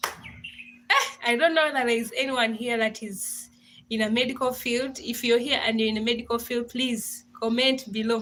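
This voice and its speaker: Over noticeable background noise, a high-pitched woman speaks at a moderate pace with fairly even intonation. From Africa. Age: young. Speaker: doctor. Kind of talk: live stream chat with viewers. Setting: live stream.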